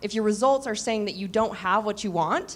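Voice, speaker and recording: A woman talks at a fairly quick pace with a fairly high pitch and ordinary pitch variation, in an unremarkable speaking voice. The recording is very clean, with a silent background. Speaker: business mentor. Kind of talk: panel discussion.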